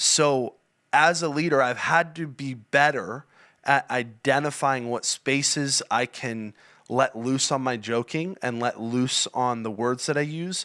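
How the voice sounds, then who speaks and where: Loud and at a fairly slow pace, a man speaks in a fairly high, bright, sharp voice on a very clean recording with a silent background. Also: ordinary pitch variation. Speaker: youth and young adult church leader. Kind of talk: podcast interview.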